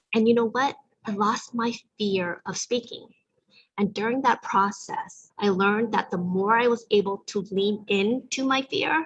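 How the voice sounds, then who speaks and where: A somewhat breathy woman with an American accent, fairly even intonation and a fairly slow pace. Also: fairly high pitch for a woman. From US (raised from infancy, Vietnamese refugee family). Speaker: community event host. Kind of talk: live online event talk.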